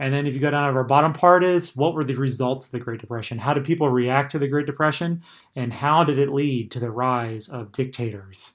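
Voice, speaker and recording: Talking at a fairly quick pace with hardly any pauses, a man uses a fairly high pitch. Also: ordinary pitch variation. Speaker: high school history teacher. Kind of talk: recorded lecture. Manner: fast; casual, many fillers.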